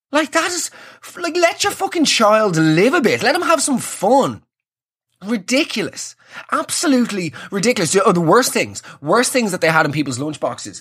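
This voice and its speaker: Here a man speaks with an Irish accent and a high pitch. His pitch swings very widely. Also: moderate pace. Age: 30s. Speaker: comedy podcaster. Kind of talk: solo comedic monologue. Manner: animated.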